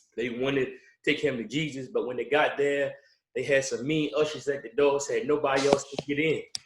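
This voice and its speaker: With a Baltimore accent, a man speaks at a fairly quick pace and a fairly high pitch. His voice is somewhat breathy, with fairly even intonation. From Baltimore, Maryland. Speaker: pastor. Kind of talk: workshop presentation. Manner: hesitant, many fillers.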